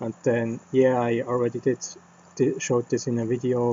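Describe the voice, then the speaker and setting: The speaker delivers every line in a monotone, flat intonation with a non-native accent. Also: man. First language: not English. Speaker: game developer streamer. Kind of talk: casual channel update. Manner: halting, many fillers.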